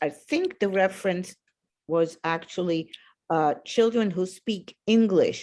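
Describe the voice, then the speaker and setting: This woman has a dark, mellow tone at medium pitch with ordinary pitch variation. She speaks very slowly with a non-native accent. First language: not English. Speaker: moderator. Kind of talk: Q&A moderation.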